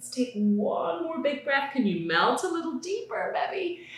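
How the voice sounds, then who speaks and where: Over noticeable background noise, a woman with an extremely high pitch speaks at a fairly slow pace with very wide pitch swings. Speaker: yoga teacher. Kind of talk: children's guided yoga class. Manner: friendly, encouraging, instructional.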